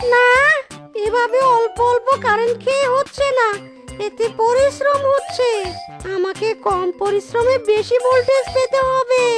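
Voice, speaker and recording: A cartoonish character voice speaks at an extremely high pitch and a fairly slow pace. Clear music plays in the background. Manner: gleeful, mocking.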